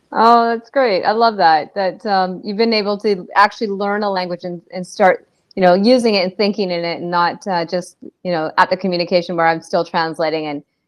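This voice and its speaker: A woman's medium-pitched voice, an unremarkable speaking voice, with ordinary pitch variation, a fairly quick pace and a quiet background. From Canada. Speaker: podcast host. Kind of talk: casual interview chat.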